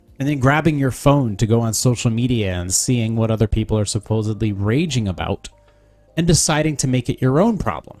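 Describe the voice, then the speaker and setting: Over music in the background, a man talks fairly quickly at a medium pitch with ordinary pitch variation. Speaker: podcaster. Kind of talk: reading aloud. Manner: soft-spoken.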